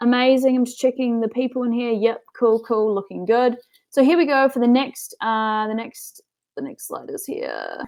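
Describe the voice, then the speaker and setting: Moderate pace, ordinary pitch variation and a New Zealand accent. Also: woman, high pitch for a woman. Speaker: business coach. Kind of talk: webinar presentation. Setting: online webinar. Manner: casual, filler-heavy.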